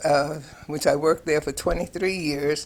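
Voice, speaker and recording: A woman with a New York accent speaks in a very deep, low pitch with monotone, flat intonation. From New York City, Harlem and lower Manhattan. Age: 80s+. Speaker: retired nurse. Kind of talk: personal life story interview. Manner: halting with many fillers and repetitions.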